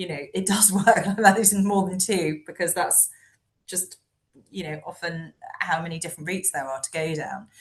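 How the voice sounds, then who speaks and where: A woman's somewhat breathy, fairly low voice with fairly even intonation. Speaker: family law solicitor. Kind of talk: webinar discussion. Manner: fast.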